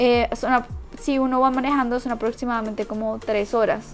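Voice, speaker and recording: Faint music plays in the background while a woman talks at a moderate pace with a high pitch and fairly even intonation. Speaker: YouTuber, expat vlogger; vlogger. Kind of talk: vlog, informational casual talk. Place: home room. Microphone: lapel.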